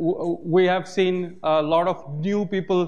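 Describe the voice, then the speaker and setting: Speaking with a Bengali accent, a man uses a high pitch. His intonation stays fairly even. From Bangladesh. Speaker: OpenStreetMap community volunteer. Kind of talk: conference talk. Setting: stage with audience. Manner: hesitant, many filler sounds. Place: hall.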